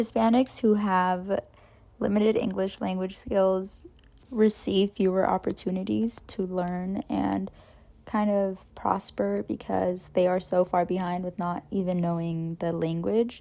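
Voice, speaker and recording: This woman talks at a fairly slow pace in a medium pitch, her dark, mellow tone carried by fairly even intonation. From US, Mexican-American family. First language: Spanish. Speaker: student. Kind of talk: class presentation.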